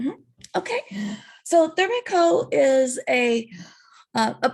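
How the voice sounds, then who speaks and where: A woman talks in an American accent. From US South, northwest Arkansas. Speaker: company founder, electrical engineer. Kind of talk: online information session.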